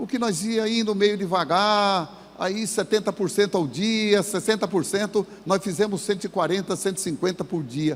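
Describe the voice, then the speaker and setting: High pitch from a man, with ordinary variation and a moderate pace. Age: 70s. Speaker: business owner and motivational speaker. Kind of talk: motivational talk. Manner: informal, colloquial.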